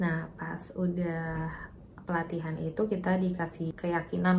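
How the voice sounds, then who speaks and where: A soft-spoken woman, somewhat breathy, at a very slow pace, with audible room echo. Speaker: vlogger and mother of twins. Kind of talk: personal story vlog. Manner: soft-spoken, quiet; casual, chatty.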